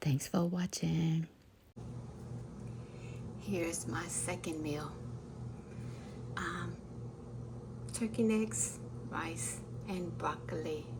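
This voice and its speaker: Over noticeable background noise, a woman talks very slowly, leaving long, frequent pauses. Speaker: ASMR creator. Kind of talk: casual talk to camera while cooking. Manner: soft-spoken, calming.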